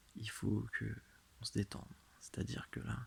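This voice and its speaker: The tone is soothing. The pace is very slow. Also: man. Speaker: ASMR creator. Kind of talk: guided relaxation hypnosis. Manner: slow, soothing.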